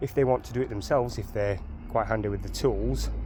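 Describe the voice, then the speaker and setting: A man with a strong Sheffield accent and a medium pitch. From northern England, Sheffield. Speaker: DIY car enthusiast. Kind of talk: tutorial. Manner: halting.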